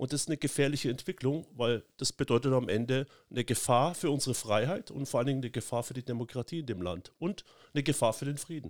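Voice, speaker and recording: A man at medium pitch and a very fast pace, with ordinary pitch variation, in a very clean, dry, close recording with a silent background and no echo. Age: 50s. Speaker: politician. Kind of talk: casual chat.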